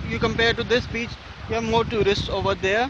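The sound is dry with no echo as a man speaks over noticeable background noise. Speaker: travel vlogger. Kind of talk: casual vlog chat. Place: beach. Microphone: phone near.

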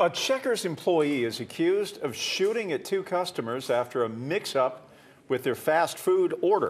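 High pitch from a man, with very wide pitch swings, at a moderate pace over noticeable background noise. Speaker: news anchor. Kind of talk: TV newscast anchoring with casual banter. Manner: formal but relaxed, conversational.

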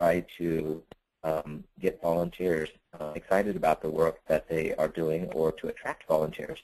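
This is a man's voice. He speaks at a fairly slow pace. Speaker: webinar presenter; former reporter.

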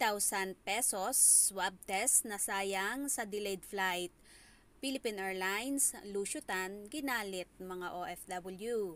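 A woman's medium-pitched voice shows ordinary pitch variation and moves very slowly. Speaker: showbiz news vlogger. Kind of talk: news reading.

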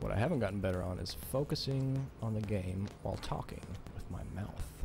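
Mumbling at a fairly quick pace, a man with a fairly low voice is heard in dry sound with no echo, faint music in the background. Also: ordinary pitch variation. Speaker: video game streamer. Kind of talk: gameplay commentary. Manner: mumbling, trails off. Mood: relaxed, self-reflective.

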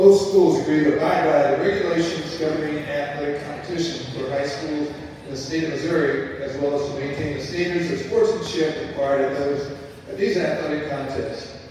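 A man speaking at a fairly quick pace, fairly even in intonation, amid strong room echo and light background noise. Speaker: public address announcer. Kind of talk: formal announcement. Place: hall.

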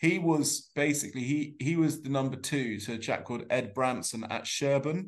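A man speaks at a moderate pace, his medium pitch showing ordinary variation.

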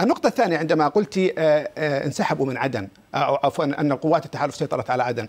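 A man talks with lively intonation, moving at a fairly quick pace. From Yemen, Saada; Yemen. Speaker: political analyst; guest. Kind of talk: heated debate. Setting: studio. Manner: animated. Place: studio. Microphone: lapel.

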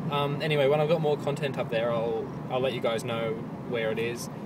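Loud background noise runs beneath a man speaking at a fairly quick pace, his sound dry with no echo. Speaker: vlogger. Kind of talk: casual vlog chat. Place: car. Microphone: phone near.

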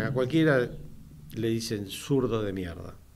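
A man with lively intonation. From Argentina. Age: 60s. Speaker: radio host and business owner; radio host or guest. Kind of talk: radio talk show. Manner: halting, many fillers. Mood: earnest political opinion. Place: studio. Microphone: studio mic.

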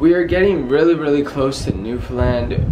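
A man speaks with lively intonation. Light background noise can be heard. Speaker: vlogger. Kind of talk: casual vlog chat. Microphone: phone near.

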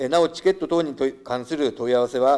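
Speaking at a medium pitch, a man lets it vary in an ordinary way. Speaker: municipal department director. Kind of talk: formal prepared answer. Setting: council chamber. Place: hall. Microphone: podium.

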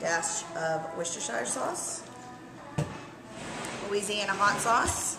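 Clear music can be heard behind a woman's voice. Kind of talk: tutorial. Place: bar. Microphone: camera far.

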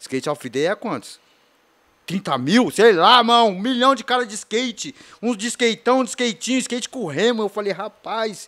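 Against a quiet background, a bright, sharp voice speaks at a moderate pace with lively intonation. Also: man, high pitch for a man. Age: 40s. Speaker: skateboarder and author; podcast guest. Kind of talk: interview testimony. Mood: relaxed, reflective. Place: studio. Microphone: studio mic.

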